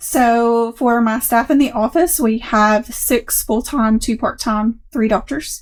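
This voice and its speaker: Speaking with a Southern US accent, a woman talks at a very slow pace with hardly any pauses, her fairly high voice holding very even loudness and ordinary pitch variation. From US South, Middle Tennessee. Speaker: practice manager. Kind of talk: interview.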